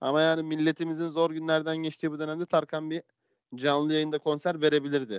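A man speaks at a fairly quick pace in a fairly high pitch. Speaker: podcast host. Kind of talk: casual chat. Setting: live stream from home. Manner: fast, energetic radio-style opening. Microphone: headphones, self-described poor sound.

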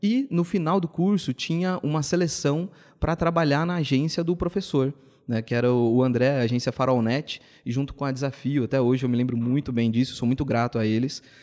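In an ordinary speaking voice, a man talks at a fairly quick pace, fairly high in pitch, with ordinary pitch variation and very even loudness against a quiet background. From São Paulo state, Brazil (ABC region, then Campinas). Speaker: entrepreneur in events and marketing. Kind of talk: podcast interview.

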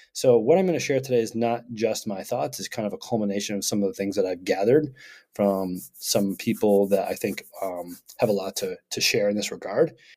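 In an upbeat tone, a man with an American accent talks fairly quickly at a fairly low pitch with ordinary pitch variation. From Vermont, US. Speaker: podcast co-host. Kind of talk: casual podcast conversation. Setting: remote recording. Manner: extroverted, upbeat.

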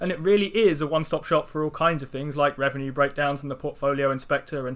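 A man with a British accent, fairly high pitch, fairly even intonation, and a very fast pace. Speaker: investing podcast co-host. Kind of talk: casual chat.

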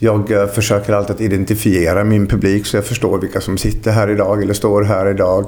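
A man talks at a fairly quick pace with hardly any pauses, his fairly low voice monotone and flat at a very even loudness. Noticeable background noise runs behind him. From Sweden, Dalarna (Falun). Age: 50s. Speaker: lecturer and entrepreneur. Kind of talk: casual interview.

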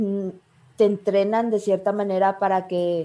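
In a very clean recording with a silent background, a woman speaks at medium pitch with a dark, mellow tone. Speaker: journalist. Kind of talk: casual interview.

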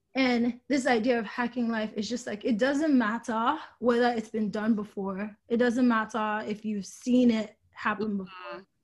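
Her voice somewhat breathy and fairly high, a woman talks at a moderate pace with fairly even intonation and hardly any pauses. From Nigeria. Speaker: business school graduate in fashion and tech. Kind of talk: podcast interview.

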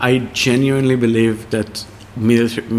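At a fairly slow pace, a man talks in a monotone, flat intonation at a medium pitch. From Israel. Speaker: chef and restaurant owner. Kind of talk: interview over a tasting menu. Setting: in a restaurant. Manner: halting, many fillers.

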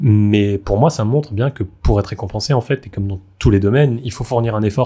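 A man's somewhat breathy, dark, mellow voice, fairly low in pitch, at a fairly quick pace on a very clean recording with a silent background. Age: 20s. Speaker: layperson returning to faith. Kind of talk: casual chat.

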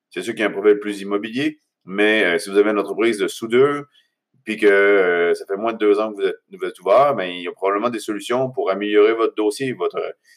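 A man speaks very fast in a Quebec accent with a fairly low pitch. His intonation is fairly even, and the sound is dry and close with no echo. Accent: Québécois French. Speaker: podcast host. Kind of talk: motivational monologue. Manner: halting, many fillers.

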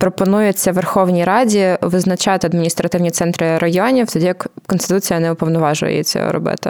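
A woman talks at a fairly quick pace in a medium pitch. It is an ordinary speaking voice with fairly even intonation. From Ukraine, Zhytomyr. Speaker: podcast host. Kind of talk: casual explanatory chat.

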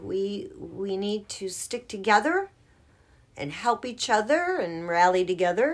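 On a very clean recording with a silent background, lively intonation marks an ordinary speaking voice. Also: woman. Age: 50s. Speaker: co-host godmother. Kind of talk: casual chat.

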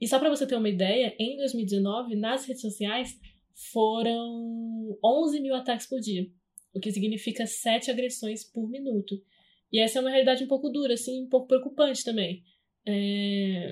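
Over a quiet background, a woman speaks at a moderate pace in an unremarkable speaking voice, fairly high-pitched with fairly even intonation. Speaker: podcast host, journalism student. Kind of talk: interview; scripted narration.

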